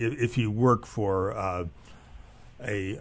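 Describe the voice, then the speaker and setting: A man's somewhat breathy, fairly low voice with fairly even intonation. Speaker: economist. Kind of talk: radio discussion. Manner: halting, many filler sounds.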